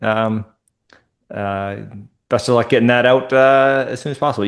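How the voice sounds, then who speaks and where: A man with an American accent speaks at a moderate pace and medium pitch. His intonation is fairly even, and the background is quiet. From Minnesota. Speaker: podcast host. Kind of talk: interview.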